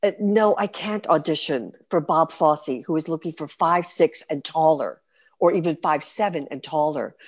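A normal speaking voice with lively intonation talks at a moderate pace over a quiet background. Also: woman. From New York City. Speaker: stage performer. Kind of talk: interview.

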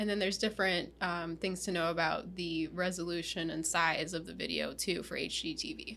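This woman speaks with vocal fry, a fairly low pitch, a bright, sharp tone and fairly even intonation, with hardly any pauses. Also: fairly quick pace. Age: 30s. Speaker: video marketing podcast co-host. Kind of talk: casual chat.

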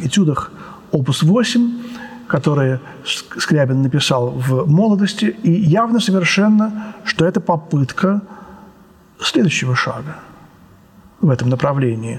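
The delivery is very slow, with lively intonation. Noticeable background noise is present. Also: man. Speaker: composer and music lecturer. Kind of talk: lecture. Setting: art gallery with glass ceiling. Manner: spontaneous, with fillers and hesitations.

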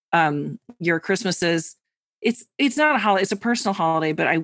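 A woman with a normal speaking voice talks at a fairly quick pace, her pitch fairly low with ordinary pitch variation. The sound is dry and close with no echo, over a quiet background. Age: 40s. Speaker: tarot reader and podcast co-host. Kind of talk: casual chat.

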